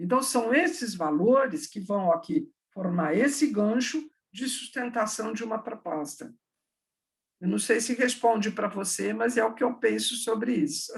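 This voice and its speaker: Lively intonation and vocal fry mark a woman's fairly high-pitched voice. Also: fairly slow pace. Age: 60s. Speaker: education professor. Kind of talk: online talk with Q&A.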